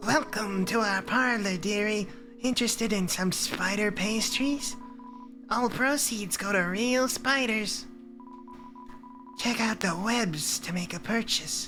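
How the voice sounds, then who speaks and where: In a put-on character voice, fairly high and fairly slow with long, frequent pauses, someone speaks over clear background noise. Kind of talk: sweet, old-fashioned, dearie. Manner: cool, welcoming.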